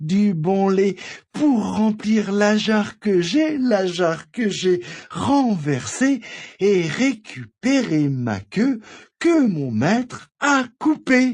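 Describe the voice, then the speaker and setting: A man puts on a character voice, pitched high and sing-song. He speaks very slowly. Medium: read story.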